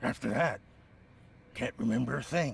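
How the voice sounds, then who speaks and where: Using a raspy, put-on character voice, a man talks at medium pitch and a moderate pace. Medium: video game. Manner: defensive, emotional.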